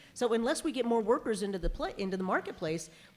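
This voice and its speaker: A woman speaks at a very fast pace with a fairly high pitch and lively intonation. Noticeable background noise can be heard. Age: 60s. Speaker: lobbyist. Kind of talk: panel discussion.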